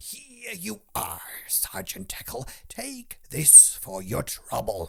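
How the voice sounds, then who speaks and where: A man whispering in a put-on character voice at a very slow pace. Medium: read story. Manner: slow, frail, polite.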